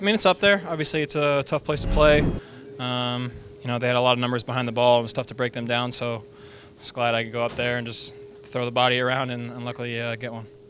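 With music in the background, a man talks at a very fast pace with ordinary pitch variation in a dry sound with no echo. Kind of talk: interview answer. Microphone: handheld.

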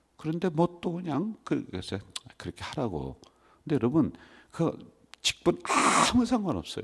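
Vocal fry marks this man's fairly high voice, which swings very widely in pitch between long, frequent pauses. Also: moderate pace. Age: old. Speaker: senior pastor. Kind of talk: sermon. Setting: church.

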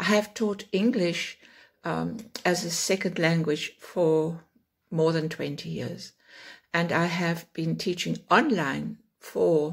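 A woman talks at a very slow pace with fairly even intonation and vocal fry against a quiet background. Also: fairly low pitch for a woman. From South Africa. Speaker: online English teacher. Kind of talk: self-introduction talk to camera. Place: home room. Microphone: phone near.

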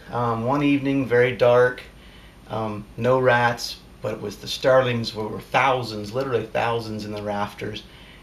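A man at a medium pitch talks at a very slow pace with fairly even intonation over light background noise. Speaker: airgun hunter and hobbyist. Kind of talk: casual talk to camera. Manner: hesitant, sometimes stuttering. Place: home room. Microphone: camera far.

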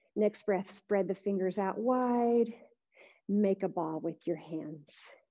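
A dark, mellow tone, calm and gentle, at a very slow pace over a quiet background. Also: woman. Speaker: yoga instructor. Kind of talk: live-streamed guided yoga class instruction. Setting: online live stream, video class. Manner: calm, gentle, soothing, unhurried cueing; warm, friendly, encouraging. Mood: calm, gentle guiding. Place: gym.

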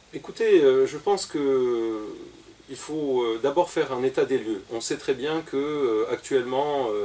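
A man at a fairly high pitch, a very slow pace, and ordinary pitch variation. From Algeria. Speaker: business executive and industry cluster president. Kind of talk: radio interview. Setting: studio. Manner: halting, many repetitions and hesitations. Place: studio.

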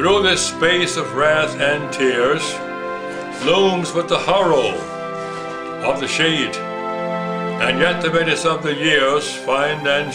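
A man speaks at a very slow pace. Music plays clearly behind him. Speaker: grandfather. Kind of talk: poetry reading. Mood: solemn, measured. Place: home room. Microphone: camera far.

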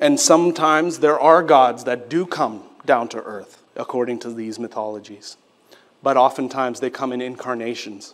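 At a moderate pace, a man speaks in a medium pitch with ordinary pitch variation and big swings in loudness. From Quebec, Canada (Sri Lankan family). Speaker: pastor. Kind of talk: sermon. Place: church. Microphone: podium.

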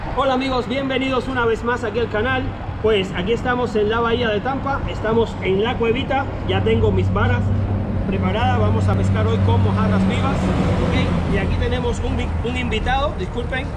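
Crowd noise fills the background. A man speaks over it at a fairly quick pace. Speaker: fishing channel host. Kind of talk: casual vlog chat. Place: waterside.

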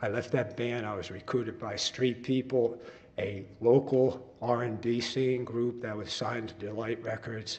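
A man with a New Jersey accent speaks at a medium pitch and a moderate pace. His delivery is monotone and flat, over noticeable background noise. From New Jersey, Long Branch (Jersey Shore). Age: 60s. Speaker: musician, public commenter at council meeting. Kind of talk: public comment at city council meeting. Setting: council chambers. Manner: halting, with fillers.

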